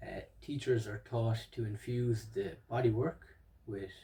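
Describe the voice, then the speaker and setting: This man's voice is medium in pitch, somewhat breathy, and dark and mellow in tone. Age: 30s. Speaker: psychotherapy student and stutter educator. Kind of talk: educational monologue. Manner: hesitant, with fillers.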